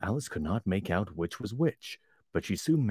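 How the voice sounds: The clip features a natural reading voice.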